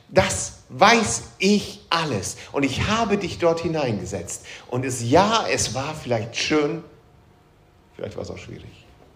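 A man speaks at a very slow pace with very wide pitch swings and big swings in loudness. Audible room echo surrounds his voice. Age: 40s. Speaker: pastor. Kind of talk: sermon.

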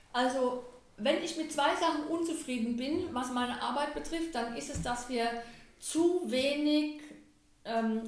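In a room with audible echo, a woman speaks at a very slow pace in a high pitch with ordinary pitch variation. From Germany, Lorsch (southern Hesse). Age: 60s. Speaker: head of a municipal culture office. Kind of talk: interview.

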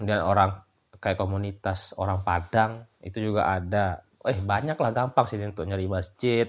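A man has an unremarkable speaking voice with a fairly low pitch. He keeps a moderate pace and fairly even intonation. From Lombok, Indonesia (Sasak). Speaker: migrant worker in Australia. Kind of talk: casual interview chat.

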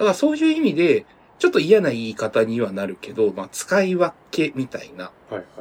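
This man talks at a fairly quick pace, his fairly high pitch swinging very widely and his loudness rising and falling by big amounts. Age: 30s. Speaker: podcast co-host. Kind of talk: casual chat.

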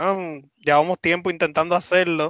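A man speaks with a Puerto Rican accent in a bright, sharp tone. The sound is dry and close with no echo, on a very clean recording with a silent background. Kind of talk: casual chat.

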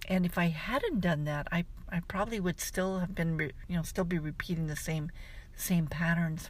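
Her voice fairly low in pitch and somewhat breathy, a woman talks at a moderate pace with fairly even intonation. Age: 60s. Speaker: life coach and podcast host. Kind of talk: scripted outro; solo podcast monologue.

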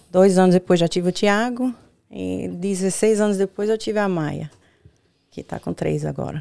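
The recording is dry and close, with no echo. A woman talks at a moderate pace. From Brazil, Bahia (Northeast). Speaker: sex coach and spa owner. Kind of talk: casual chat.

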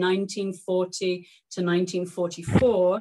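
This woman speaks with an English accent. Her pitch is medium. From England. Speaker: author and historian. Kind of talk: lecture. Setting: video call.

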